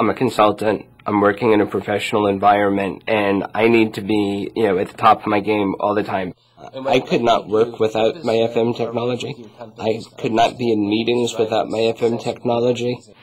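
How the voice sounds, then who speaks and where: Monotone, flat intonation from a man at a fairly quick pace, with noticeable background noise. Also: medium pitch for a man. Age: 40s. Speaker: consultant. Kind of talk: testimonial interview.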